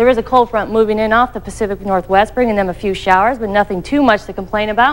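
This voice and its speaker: Ordinary pitch variation from a woman. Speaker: TV presenter. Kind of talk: weather forecast presentation. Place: studio.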